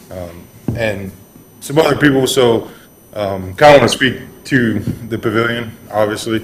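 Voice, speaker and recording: A man speaks at a fairly slow pace with a medium pitch and ordinary pitch variation, leaving long, frequent pauses. His loudness swings widely, and there is noticeable background noise. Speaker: public commenter at city meeting. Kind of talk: public comment at board meeting. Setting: city board meeting room with PA microphone. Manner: soft-spoken.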